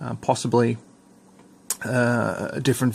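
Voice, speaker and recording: A man speaks in an Australian accent. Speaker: scale model hobbyist reviewer. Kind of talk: unboxing review. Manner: casual, hesitant with many fillers.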